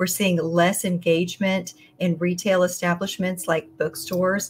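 A somewhat breathy woman's voice at a moderate pace, in a monotone, flat intonation. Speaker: guest. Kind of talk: interview answer. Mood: earnest, concerned. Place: home room.

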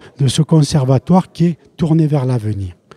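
A man's somewhat breathy, dark and mellow voice at a fairly high pitch, with ordinary pitch variation and a dry sound with no echo. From France, Lozère; France. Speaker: retired primary school teacher and collector; retired primary school teacher. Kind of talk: interview. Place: hall. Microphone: handheld.

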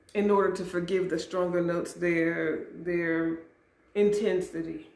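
A woman at a fairly slow pace, with audible room echo. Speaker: fragrance vlogger. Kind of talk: casual vlog chat. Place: home room. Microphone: camera far.

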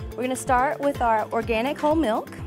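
A woman at a fairly quick pace with clear music in the background. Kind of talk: tutorial. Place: cafe. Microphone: lapel.

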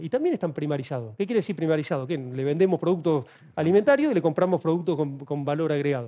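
In a quiet background, a man with a high pitch and a dark, mellow tone speaks at a very fast pace. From Argentina. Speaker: author and China analyst; guest. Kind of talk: TV interview. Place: studio. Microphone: headset.

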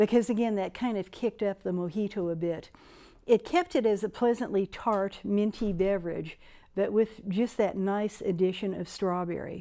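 In a quiet background, a woman speaks at a moderate pace. Her tone is dark and mellow, her intonation fairly even. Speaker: cocktail show host. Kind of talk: tutorial. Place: studio. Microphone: lapel.

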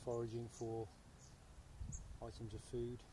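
Room echo is audible as a man speaks at a medium pitch and a moderate pace.

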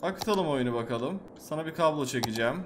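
A man talks at a moderate pace with a fairly high pitch that swings very widely, noticeable background noise behind him. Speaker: gaming YouTuber; gaming streamer. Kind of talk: gameplay commentary. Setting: home recording. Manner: animated; loud. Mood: playful, mildly frustrated. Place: home room. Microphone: headset.

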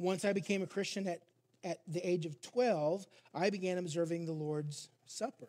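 A man speaks at a high pitch in a dark, mellow tone. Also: ordinary pitch variation, moderate pace. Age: 50s. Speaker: pastor. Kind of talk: sermon. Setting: church. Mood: reflective, personal. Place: church. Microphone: headset.

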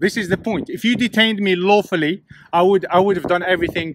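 Fairly quick speech with noticeable background noise and a dry sound with no echo. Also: man. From England. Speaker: YouTuber filming police encounters. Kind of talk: confrontational street filming. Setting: outdoors, windy. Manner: sarcastic, combative. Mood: aggravated, confrontational. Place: street. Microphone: phone near.

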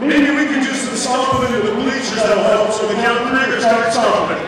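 Loud background noise sits under audible room echo. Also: man. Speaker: rally host. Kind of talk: announcements and game instructions. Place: hall. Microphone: pa.

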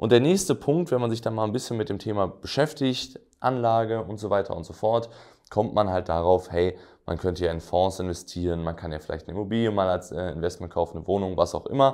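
A man's fairly quick speech is heard over a quiet background. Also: fairly low pitch for a man, ordinary pitch variation. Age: 20s. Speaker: entrepreneur and business coach; business coach. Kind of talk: direct-to-camera explainer video; lecture. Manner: casual with frequent fillers.

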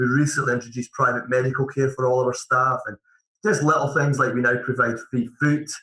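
Here is a man with a Scottish accent, talking at a very fast pace. His pitch is medium and his intonation fairly even. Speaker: managing director of a mortgage advice firm. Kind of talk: podcast interview. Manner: halting, repeats words.

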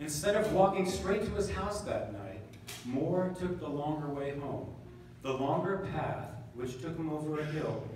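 Strong room echo hangs over the recording, along with light background noise. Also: man. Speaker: band member narrator. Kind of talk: reading a story aloud at a concert. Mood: calm storytelling. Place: hall.

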